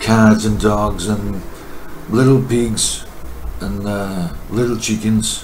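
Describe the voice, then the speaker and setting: A man at a very slow pace with a fairly low pitch and monotone, flat intonation, long and frequent pauses, audible room echo and noticeable background noise. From Greece, countryside. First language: Greek. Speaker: video testimony contributor. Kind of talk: personal testimony. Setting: recorded to camera. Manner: halting, hesitant.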